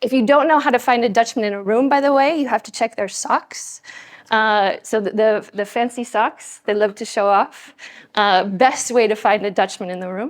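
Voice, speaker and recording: A woman with an American accent and a fairly high pitch speaks at a moderate pace with ordinary pitch variation, in a very clean recording with a silent background. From United States. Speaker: scientist and speaker. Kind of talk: conference talk. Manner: animated.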